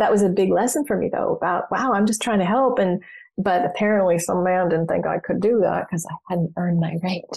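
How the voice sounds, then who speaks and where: Over a quiet background, a woman talks fairly quickly in a somewhat breathy, medium-pitched voice, keeping her loudness very even and her pitch variation ordinary. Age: 60s. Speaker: psychotherapist and business coach. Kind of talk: casual chat. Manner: animated.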